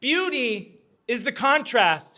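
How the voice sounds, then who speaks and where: A man with a high pitch uses a raised, projected voice with a bright, sharp, animated tone. The recording is very clean with a silent background. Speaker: community activist and speaker. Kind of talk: short public talk. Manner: loud.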